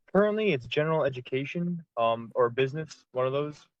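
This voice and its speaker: Talking at a very fast pace, a man speaks with ordinary pitch variation. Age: 20s. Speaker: student representative. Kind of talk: video meeting self-introduction. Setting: in a car on a video call. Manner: hesitant, many fillers.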